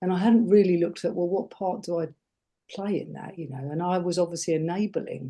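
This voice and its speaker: With an English accent, a woman speaks very fast at a fairly low pitch, her fairly even intonation carrying a dark, mellow tone. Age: 60s. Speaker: life coach and former nurse. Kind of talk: interview.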